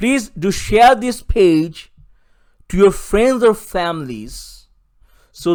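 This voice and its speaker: A man with a South Asian accent and very wide pitch swings. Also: very clean recording, silent background. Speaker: political activist. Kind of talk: recorded presentation. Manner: formal.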